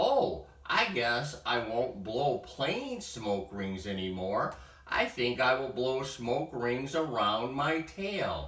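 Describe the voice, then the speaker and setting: A man's put-on character voice at medium pitch, very slow pace, slight echo. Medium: read story. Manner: excited, eager.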